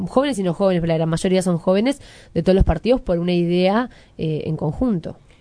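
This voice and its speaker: A woman talks at a fairly quick pace in a dark, mellow tone with a fairly low pitch. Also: quiet background. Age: young. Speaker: radio host. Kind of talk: radio interview.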